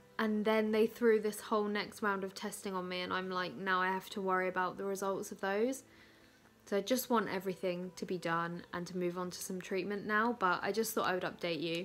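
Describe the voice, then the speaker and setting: A woman with a South East English accent talks at a fairly quick pace in a tired tone, her medium pitch held to fairly even intonation. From South East England. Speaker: vlogger. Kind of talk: casual vlog monologue. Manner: tired, chatty.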